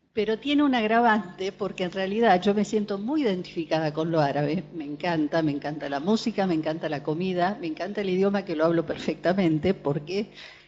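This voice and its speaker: Over noticeable background noise, a woman speaks fairly quickly at a medium pitch. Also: ordinary pitch variation. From Argentina, born in Beirut. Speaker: psychoanalyst attendee. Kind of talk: panel discussion testimony. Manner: hesitant, many fillers.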